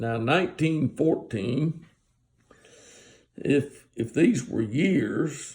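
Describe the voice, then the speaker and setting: Speaking very slowly with long, frequent pauses, a man with a fairly high pitch uses lively intonation in a somewhat breathy voice. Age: 70s. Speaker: Bible teacher. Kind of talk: casual Bible talk. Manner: halting.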